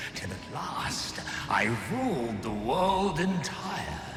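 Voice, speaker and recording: In a put-on character voice, someone speaks at a very slow pace with a clear echo and loud background noise. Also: man, high pitch for a man. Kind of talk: archaic epic speech. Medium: video game. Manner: solemn, grandiose.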